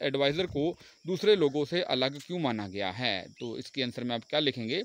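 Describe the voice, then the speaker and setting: In a very clean recording with a silent background, a man's voice swings very widely in pitch. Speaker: teacher. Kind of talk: lecture.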